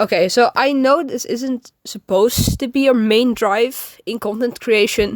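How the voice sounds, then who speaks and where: Speaking at a fairly slow pace, a woman has a non-native accent and ordinary pitch variation. The sound is dry and close, with no echo. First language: not English. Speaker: amateur artist and new YouTuber. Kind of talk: casual vlog monologue. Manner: halting, frequent fillers.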